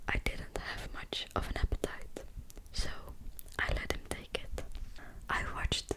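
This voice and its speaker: The words come out as a whisper at a fairly slow pace. Background noise is noticeable around it. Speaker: ASMR creator. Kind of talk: audiobook reading. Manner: whispered.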